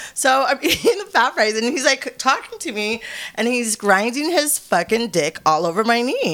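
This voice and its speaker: A woman whose pitch swings very widely speaks at a moderate pace over noticeable background noise. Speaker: adult film performer. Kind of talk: casual chat interview. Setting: studio.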